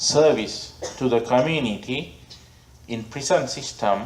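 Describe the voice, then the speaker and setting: A man speaks with a Sri Lankan accent. His pitch is medium. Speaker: Buddhist monk and abbot; meditation teacher. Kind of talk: storytelling talk to an audience.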